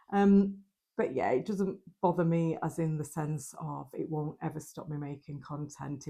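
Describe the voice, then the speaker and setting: With a northern English accent, a woman speaks at a moderate pace in a very deep, low, dark and mellow voice that is somewhat breathy, her intonation fairly even. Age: 50s. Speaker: lifestyle vlogger. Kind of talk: vlog talk to camera. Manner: casual, hesitant with ums.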